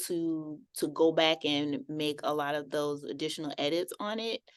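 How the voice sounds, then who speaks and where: Over a quiet background, a woman speaks with lively intonation in a Southern US accent. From South Carolina, USA. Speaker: poet and high school English teacher. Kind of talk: interview answer.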